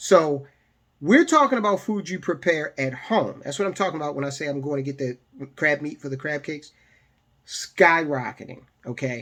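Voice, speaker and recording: Big swings in loudness mark this voice with an American accent, which moves at a moderate pace with ordinary pitch variation. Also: man, fairly high pitch for a man. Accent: Maryland accent, per his wife. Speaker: personal finance YouTuber. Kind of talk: casual commentary video. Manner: conversational.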